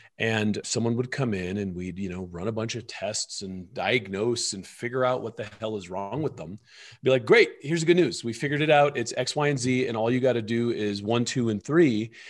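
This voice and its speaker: An ordinary speaking voice from a man at a fairly quick pace, with ordinary pitch variation, on a very clean recording with a silent background. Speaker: wellness author and filmmaker. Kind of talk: interview conversation. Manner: calm, explanatory.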